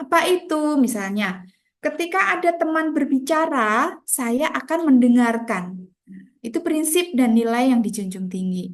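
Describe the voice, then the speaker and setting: A woman speaks at a high pitch and a fairly slow pace, her voice making very wide pitch swings. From Central Java, Indonesia (Grobogan). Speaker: teacher. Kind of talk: lecture. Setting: video call.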